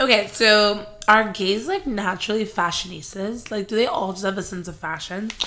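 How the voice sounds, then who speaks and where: A woman at medium pitch speaks with big swings in loudness against noticeable background noise. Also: ordinary pitch variation, moderate pace. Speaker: podcast co-host. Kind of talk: casual chat.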